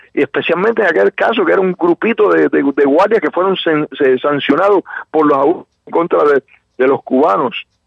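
This man's voice is fairly high, with vocal fry and lively intonation. He talks at a fairly quick pace. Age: 60s. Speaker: Cuban exile activist. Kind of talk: radio interview. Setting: phone call. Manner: halting, many fillers.

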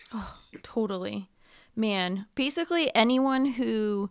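A woman sounds animated at a fairly high pitch, with ordinary pitch variation. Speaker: podcast host. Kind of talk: casual interview chat.

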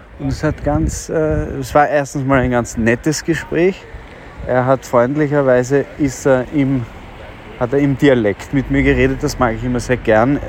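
Noticeable background noise beneath a man's voice of medium pitch. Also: ordinary pitch variation. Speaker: podcaster. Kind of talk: casual monologue. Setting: outdoors, walking on street. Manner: hesitant, with fillers.

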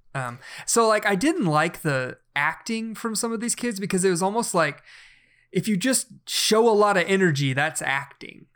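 Speaking with a slight Southern US accent, a man talks at a high pitch and a moderate pace. His intonation is lively, on a very clean recording with a silent background. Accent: slight Southern twang. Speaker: podcast co-host. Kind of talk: casual chat.

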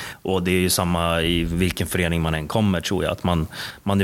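On a very clean recording with a silent background, a man speaks fairly quickly in a very deep, low, monotone voice with flat intonation. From Stockholm, Sweden (Bromma). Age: 20s. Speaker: basketball coach. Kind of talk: interview.

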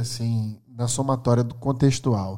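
This man's tone is dark and mellow, with ordinary pitch variation. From Brazil, Maceió, Alagoas (Northeast). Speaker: neuroscientist and tech executive. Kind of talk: casual interview.

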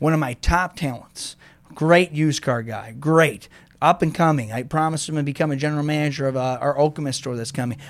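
A man speaks with an American accent in an ordinary speaking voice. His pitch is fairly high, his pace fairly quick, and his pitch variation ordinary. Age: 40s. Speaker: car dealership owner. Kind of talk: casual interview.

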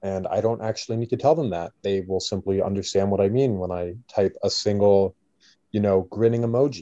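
Against a quiet background, a man with a Canadian accent speaks at a fairly quick pace in a dark, mellow tone, his pitch fairly low. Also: ordinary pitch variation. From Canada. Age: 20s. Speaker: university student. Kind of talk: casual chat. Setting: video call. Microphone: Zoom call audio, lower quality.

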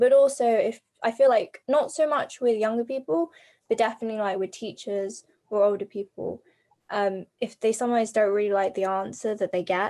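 Talking at a fairly quick pace, a woman has a dark, mellow tone. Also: fairly high pitch for a woman, ordinary pitch variation. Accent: English. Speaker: adoptee guest. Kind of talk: casual chat.

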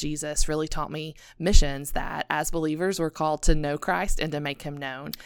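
A woman's very deep, low voice at a moderate pace, with fairly even intonation, on a very clean recording with a silent background. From East Tennessee (Appalachian mountains). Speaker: ministry specialist. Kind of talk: interview.

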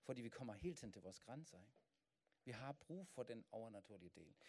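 A man's dark, mellow tone at a moderate pace with lively intonation. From Germany. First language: German (speaking Danish). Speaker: pastor. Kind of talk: sermon. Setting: church.

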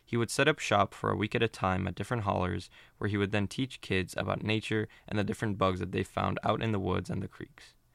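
A man's very fast, fairly low voice with hardly any pauses and fairly even intonation, dry and close with no echo, in a very clean recording over a silent background. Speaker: podcast host. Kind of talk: scripted narration. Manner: formal.

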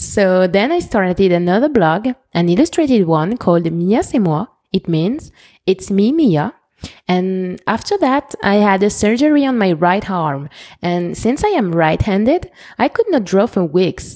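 Speaking at a fairly slow pace with a French accent, a woman uses lively intonation, very even loudness, a dark, mellow tone and medium pitch. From France. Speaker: fashion podcaster. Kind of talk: scripted podcast monologue.

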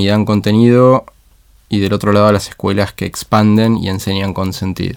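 In a very clean recording with a silent background, a man with a fairly low pitch talks fairly quickly in a flat monotone. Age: 30s. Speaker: education leader. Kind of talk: interview conversation. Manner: halting, many repeated words.

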